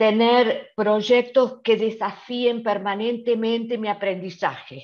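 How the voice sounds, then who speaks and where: A woman's fairly high voice moves at a very slow pace. Her intonation stays fairly even. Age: 70s. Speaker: volunteer. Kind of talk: panel talk. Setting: online livestream.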